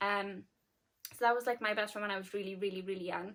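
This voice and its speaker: With a South Welsh accent, a woman speaks at a medium pitch with fairly even intonation. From Wales, Llanelli. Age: 20s. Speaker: lifestyle vlogger. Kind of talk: casual chat to camera. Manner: casual, many fillers.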